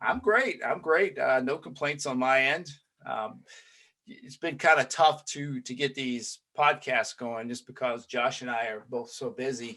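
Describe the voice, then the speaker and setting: Bright, sharp male voice at medium pitch with a Southern US accent, fairly slow pace, ordinary pitch variation and big swings in loudness. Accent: Southern twang. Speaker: podcast host, police trainer. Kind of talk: casual interview chat. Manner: filler-heavy, hesitant starts.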